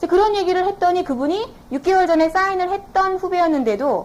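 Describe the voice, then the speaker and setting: A woman talking at a fairly quick pace. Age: 20s. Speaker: network marketing business owner, former TV announcer. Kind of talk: business seminar lecture.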